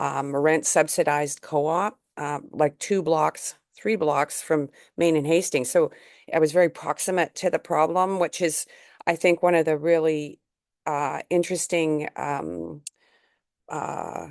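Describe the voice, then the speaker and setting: Against a quiet background, a woman with a Canadian accent and a very deep, low voice speaks at a fairly slow pace with fairly even intonation, the sound dry and close with no echo. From British Columbia, Canada. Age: 70s. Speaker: community organizer. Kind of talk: panel talk at online event. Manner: halting, many fillers.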